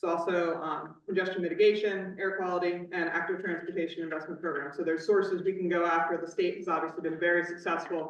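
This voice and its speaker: The speech comes at a very fast pace with hardly any pauses. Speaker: transportation planning consultant. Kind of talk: public meeting presentation. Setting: public meeting in high school library.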